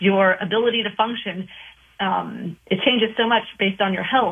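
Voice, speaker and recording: The woman has an ordinary speaking voice pitched in the medium range. She speaks at a moderate pace. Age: 20s. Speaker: nutrition coach. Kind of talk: casual chat.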